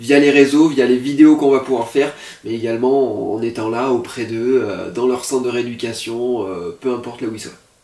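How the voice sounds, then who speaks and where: A man speaks with medium pitch at a moderate pace, and noticeable background noise is present. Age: 20s. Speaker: content creator, student. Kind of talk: casual video presentation. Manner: hesitant, many fillers.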